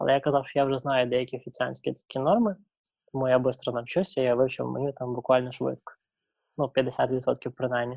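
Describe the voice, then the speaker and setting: Speaking at a moderate pace, a man keeps a medium pitch. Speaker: traveller. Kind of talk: interview.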